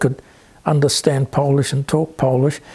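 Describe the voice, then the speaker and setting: A man speaks with a New Zealand accent. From New Zealand (Auckland area). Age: 70s. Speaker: interviewee, son of Polish immigrant. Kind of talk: interview. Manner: halting, stammering; many fillers (um, yeah).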